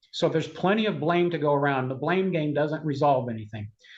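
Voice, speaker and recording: A man's fairly high voice comes across somewhat breathy. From Cuba. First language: Spanish. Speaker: conservative political advocate. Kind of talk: interview.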